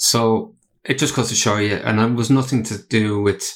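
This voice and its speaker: A man with an Irish accent speaks in a flat monotone on a very clean recording with a silent background. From Ireland. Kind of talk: casual interview chat. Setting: studio.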